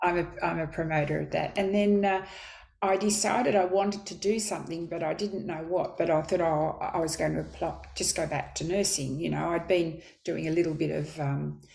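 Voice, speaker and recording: Audible room echo surrounds a woman speaking at a fairly quick pace in a fairly low pitch, with vocal fry and fairly even intonation. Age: 70s. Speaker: midwife. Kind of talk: interview.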